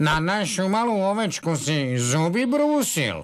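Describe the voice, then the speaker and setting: Putting on a cartoonish character voice, a man speaks at a high pitch with very wide pitch swings. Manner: earnest, dialect-tinged.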